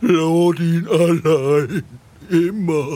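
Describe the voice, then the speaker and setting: Using a put-on character voice, a man speaks at a high pitch. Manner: broken speech, talks about himself in third person.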